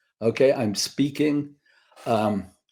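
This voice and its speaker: In a very clean recording with a silent background, a voice with a dark, mellow tone speaks with a British accent and ordinary pitch variation. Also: man. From Britain. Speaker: screenwriter and teacher. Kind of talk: interview. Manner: halting.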